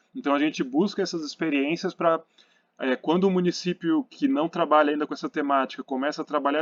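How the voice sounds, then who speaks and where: Against a quiet background, a man talks at a fairly quick pace in a fairly high voice with ordinary pitch variation, the sound dry and close with no echo. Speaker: architecture council commission presenter. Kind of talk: presentation. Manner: fast; hesitant with many fillers.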